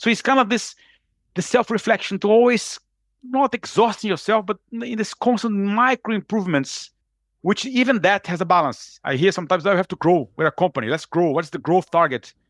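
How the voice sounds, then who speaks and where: A high-pitched man in a Brazilian Portuguese accent, energetic in tone, with lively intonation and a fairly quick pace, on a very clean recording with a silent background and a dry, close sound with no echo. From Brazil, Rio de Janeiro. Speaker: executive coach. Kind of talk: podcast interview. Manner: fast.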